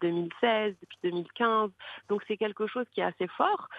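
The speaker is a woman at a moderate pace. Her pitch variation is ordinary. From Morocco, Marrakech. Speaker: social media influencer and digital entrepreneur. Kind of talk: interview. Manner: hesitant, many fillers.

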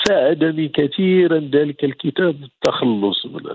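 The pace is very slow. A man speaks at a fairly high pitch. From Morocco, Beni Mellal. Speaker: novelist. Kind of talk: interview.

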